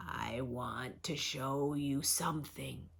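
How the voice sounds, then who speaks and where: In a put-on character voice, a woman growls at a very deep, low pitch. She speaks very slowly, and her voice is creaky. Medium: read story. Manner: distant, slow, beckoning.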